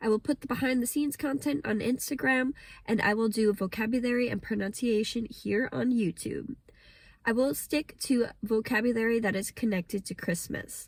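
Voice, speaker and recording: At a moderate pace, a woman with an American accent speaks in a somewhat breathy voice at a fairly high pitch. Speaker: English teacher. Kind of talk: pronunciation lesson to camera.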